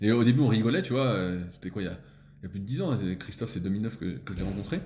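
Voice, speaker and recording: Very fast and somewhat breathy, a man talks at medium pitch with lively intonation, with audible room echo. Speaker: strength training coach. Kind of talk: casual interview.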